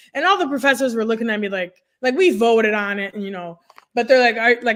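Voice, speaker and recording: Speaking at a very fast pace, a woman with a fairly high pitch sounds animated, her pitch varying in an ordinary way. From immigrant, French-speaking background. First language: French. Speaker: nurse career coach. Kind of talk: podcast interview.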